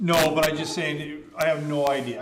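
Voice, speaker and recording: A man speaks over noticeable background noise. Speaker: municipal councillor. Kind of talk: council meeting discussion. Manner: loud.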